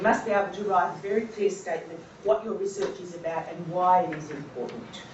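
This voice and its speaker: Noticeable background noise and audible room echo both surround a woman as she talks. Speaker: lecturer. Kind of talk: lecture. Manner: fast.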